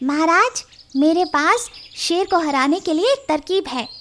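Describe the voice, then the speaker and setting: This is a cartoonish character voice. Its pitch is extremely high. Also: moderate pace. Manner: eager, respectful.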